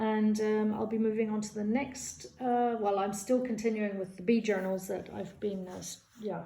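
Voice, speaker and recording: With audible room echo, a woman speaks in a fairly high pitch and a dark, mellow tone, somewhat breathy, at a moderate pace with hardly any pauses and fairly even intonation. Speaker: junk journal crafter. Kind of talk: craft flip-through tutorial. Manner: hesitant, many fillers; casual.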